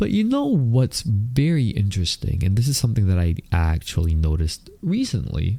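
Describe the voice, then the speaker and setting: A man's dark, mellow tone at medium pitch, with very wide pitch swings. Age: 30s. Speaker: podcast host. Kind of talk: casual monologue. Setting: recording on camera at home. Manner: slow.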